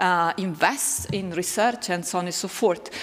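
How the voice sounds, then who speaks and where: The speaker has an Italian accent, heard over noticeable background noise. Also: woman. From northern Italy, Lombardy. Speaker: philosophy professor. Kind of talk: public lecture.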